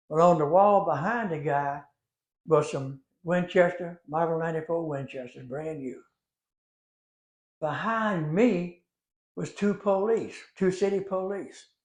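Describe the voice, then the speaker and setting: A man with a Louisiana accent speaks in a high pitch at a fairly slow pace. He leaves long, frequent pauses, and his pitch variation is ordinary. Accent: Louisiana Southern US. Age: 80s+. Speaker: storyteller. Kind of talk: storytelling. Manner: conversational, folksy.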